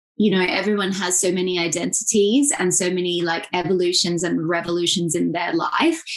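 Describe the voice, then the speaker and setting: At a fairly quick pace, a woman talks with an Australian accent and a medium pitch. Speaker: journalist and digital strategist. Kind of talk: podcast interview.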